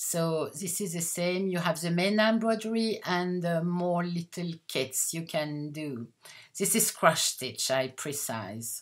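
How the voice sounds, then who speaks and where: Speaking very slowly in a French accent, a woman uses a fairly low pitch and lively intonation. The recording is very clean, with a silent background. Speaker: haberdashery owner and designer. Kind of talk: product presentation. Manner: halting.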